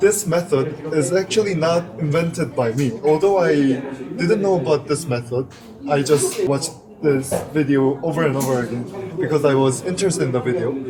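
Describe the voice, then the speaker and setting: Over noticeable background noise, a man with a Korean accent speaks at a moderate pace, his fairly high voice varying in pitch in an ordinary way. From South Korea. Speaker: interview guest, English learner. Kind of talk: casual interview chat. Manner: hesitant, with fillers.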